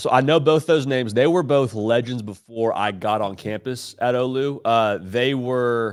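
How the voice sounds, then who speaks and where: A man with a slight Nashville accent and a medium pitch talks in an animated tone with hardly any pauses, on a very clean recording with a silent background. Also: ordinary pitch variation, moderate pace. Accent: slight Nashville twang. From Southern California, Orange County. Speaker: college football analyst. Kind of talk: sports podcast interview.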